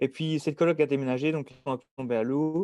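A man's dark, mellow voice with a Belgian accent, at a moderate pace, over a quiet background. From Belgium, Dinant area (Wallonia). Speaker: engineering student. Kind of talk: casual interview.

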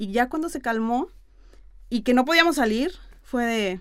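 Her pitch is high and her intonation lively. The woman talks at a fairly slow pace. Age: 30s. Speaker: influencer and marketer. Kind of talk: casual interview.

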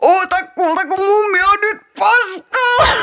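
A strained, put-on character voice at an extremely high pitch.

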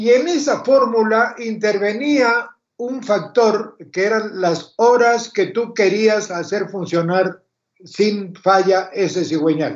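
In a high voice with ordinary pitch variation, a man speaks at a very slow pace. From Argentina. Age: 80s+. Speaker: retired electrical engineer, mentor. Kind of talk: casual interview.

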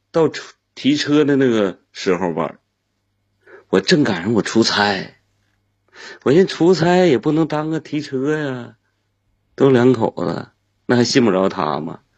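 The pace is very slow, with long, frequent pauses. Pitch swings very widely. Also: man. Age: 40s. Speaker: caller, sales manager. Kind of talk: call-in conversation.

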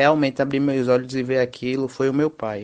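This man's voice sits at a medium pitch. He talks in a flat monotone. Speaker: judo instructor, physical education graduate. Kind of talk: interview.

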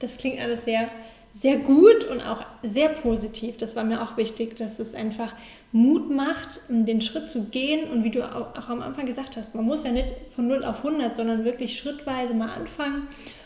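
Amid noticeable background noise and audible room echo, a woman with a high pitch speaks at a moderate pace with fairly even intonation. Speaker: podcast host and mental coach. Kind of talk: interview.

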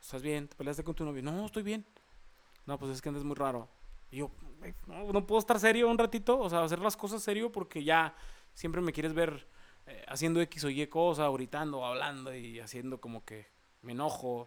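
A man talks at a fairly quick pace and fairly high pitch in a plain, everyday voice. His loudness rises and falls in big swings. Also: lively intonation. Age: 20s. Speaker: podcast host. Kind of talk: casual chat.

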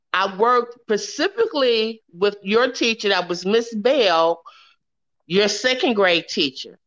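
A woman with an American accent has a plain, everyday voice, fairly high in pitch with ordinary pitch variation, over a quiet background. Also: fairly slow pace. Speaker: host's mother. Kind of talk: casual interview.

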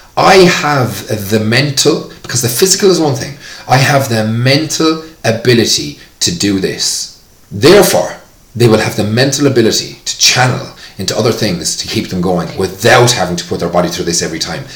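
With an Irish accent, a man speaks at a moderate pace and medium pitch, his pitch swinging very widely amid audible room echo and noticeable background noise. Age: 40s. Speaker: fitness tutor. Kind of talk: casual interview.

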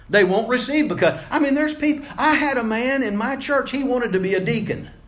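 A man talks at a fairly quick pace, and audible room echo hangs around his words. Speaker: preacher. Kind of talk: sermon. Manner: wordy, repetitive with fillers.

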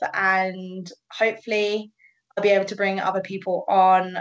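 A woman with a British accent, medium pitch, monotone, flat intonation and a fairly slow pace. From England. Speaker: paddleboard tour operator. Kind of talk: casual chat.

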